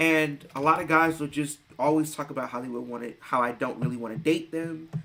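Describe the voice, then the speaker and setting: Bright and sharp in tone, a man with a fairly high pitch speaks at a fairly quick pace, his intonation fairly even while his loudness swings widely. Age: young. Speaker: streamer. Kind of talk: casual chat. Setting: live stream. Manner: expressive.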